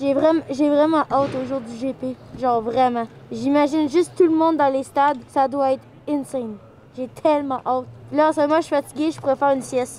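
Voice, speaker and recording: A woman with a Quebec accent talks at a fairly quick pace in a high pitch. Noticeable background noise is present. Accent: Québécois French. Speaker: streamer and YouTuber. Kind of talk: vlog and casual chat. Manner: animated.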